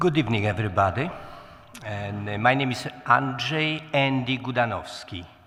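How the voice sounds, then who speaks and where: A man speaks with a Polish accent and ordinary pitch variation. Audible room echo surrounds his voice. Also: medium pitch for a man, moderate pace. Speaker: city council candidate. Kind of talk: candidate forum speech.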